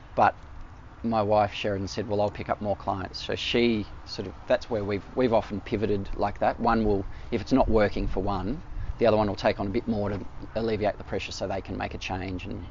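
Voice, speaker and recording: A man's flat, monotone delivery at a fairly quick pace, with noticeable background noise. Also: fairly low pitch for a man. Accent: Australian. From Melbourne, Australia (eastern suburbs). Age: 40s. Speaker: artist. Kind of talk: casual interview. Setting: outdoors in a park.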